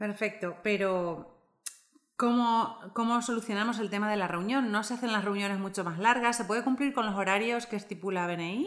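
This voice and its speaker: A woman with a plain, everyday voice and a fairly high pitch speaks at a moderate pace with ordinary pitch variation. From Argentina. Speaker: podcast co-host. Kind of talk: podcast interview.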